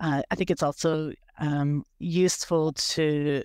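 With a slight Canadian accent, a woman speaks at a very deep, low pitch with fairly even intonation, the sound dry and close with no echo. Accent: Canadian, slight after years in Australia. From Canada. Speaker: dairy farmer and PhD researcher. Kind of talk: webinar interview. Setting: video call webinar. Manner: hesitant, many fillers.

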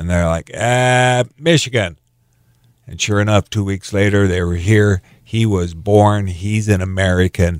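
An ordinary speaking voice at a fairly slow pace with ordinary pitch variation, a dry, close sound with no echo, and a very clean recording with a silent background. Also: man, fairly low pitch for a man. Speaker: producer and communications professional. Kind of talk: casual radio interview.

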